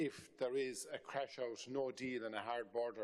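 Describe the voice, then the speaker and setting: A man with an Irish accent. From Ireland. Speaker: member of parliament. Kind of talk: parliamentary committee question. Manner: halting with fillers.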